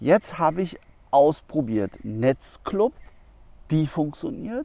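A man speaks at a very slow pace with very wide pitch swings, in a dry sound with no echo. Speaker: wildlife camera reviewer. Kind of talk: product review vlog. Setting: outdoors in the woods. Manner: casual, with slips and restarts. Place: forest. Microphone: lapel.

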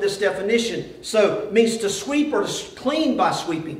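Strong room echo surrounds speech at a moderate pace with ordinary pitch variation. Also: man.

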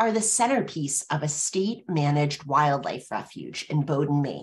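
A woman speaks at a fairly slow pace, her voice somewhat breathy. Her pitch swings very widely against a quiet background. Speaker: webinar host. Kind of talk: webinar moderation. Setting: video call. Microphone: webcam.

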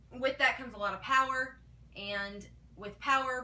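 Lively intonation colors a woman's speech. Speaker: paranormal show fan vlogger. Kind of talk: casual vlog commentary. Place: home room. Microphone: camera far.

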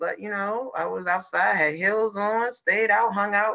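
With lively intonation and a bright, sharp tone, a woman speaks over a quiet background. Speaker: podcast co-host. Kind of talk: casual podcast storytelling. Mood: laid-back, joking. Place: home room. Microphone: video call.

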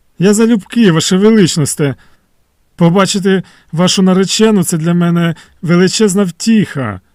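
Using a put-on character voice, a man speaks with a high, shaky pitch at a moderate pace, leaving long, frequent pauses, in a dry, close sound with no echo. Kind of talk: formal, deferential.

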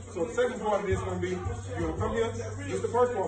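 A man talks very fast, with music clearly audible behind him. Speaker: boxing coach holding mitts. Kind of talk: coaching instructions during drills. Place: gym. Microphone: camera far.

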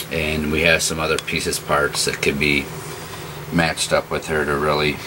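A man speaks with a very deep, low pitch and monotone, flat intonation. Noticeable background noise runs underneath. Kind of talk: casual product description. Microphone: phone near.

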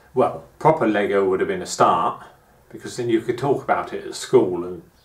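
A man talks fairly quickly, his voice carrying audible room echo. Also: big swings in loudness. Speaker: gardening vlogger reminiscing. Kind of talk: casual vlog chat. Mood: nostalgic, reflective. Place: home room. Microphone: camera far.

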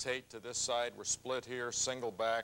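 Fairly even intonation from a man at a fairly slow pace. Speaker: football coach on TV show. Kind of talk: play breakdown commentary. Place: studio.

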